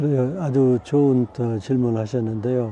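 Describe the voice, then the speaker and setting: Here a man speaks at a medium pitch. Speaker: retired neurologist and medical missionary. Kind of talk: interview.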